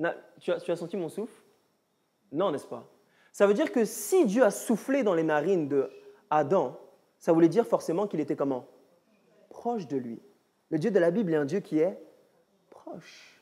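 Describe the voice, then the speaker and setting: Fairly slow speech with long, frequent pauses in a very clean recording over a silent background. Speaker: Bible study teacher. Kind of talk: Bible study teaching with audience. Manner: animated.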